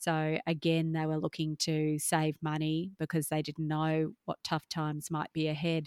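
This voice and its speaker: At a moderate pace, the voice runs on with hardly any pauses in a flat monotone, the sound dry and close with no echo. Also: woman, very deep, low pitch for a woman. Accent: Australian. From Perth, Australia. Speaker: marketing business owner and speaker. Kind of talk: interview.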